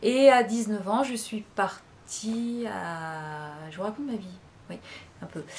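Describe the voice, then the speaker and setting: With lively intonation, a woman talks very slowly in a somewhat breathy voice. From western France (La Rochelle). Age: 40s. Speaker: vlogger. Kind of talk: casual chat. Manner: hesitant, many fillers.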